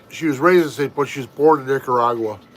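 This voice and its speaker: A man rattles off his words at a very fast pace, his pitch varying in an ordinary way, while noticeable background noise runs underneath. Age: 50s. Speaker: family vlogger. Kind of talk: casual live-stream chat.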